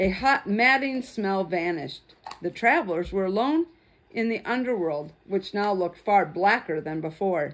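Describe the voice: Lively intonation over plain reading aloud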